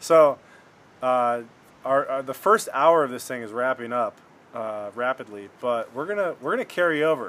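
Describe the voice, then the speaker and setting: Delivered at a moderate pace, this is an unremarkable speaking voice with ordinary pitch variation and big swings in loudness. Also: man, medium pitch for a man. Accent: American. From Michigan. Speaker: podcast host. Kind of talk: casual chat. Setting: front porch at home.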